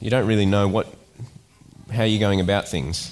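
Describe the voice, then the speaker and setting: A man talks while music plays faintly behind him. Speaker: preacher. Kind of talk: sermon. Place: church. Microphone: headset.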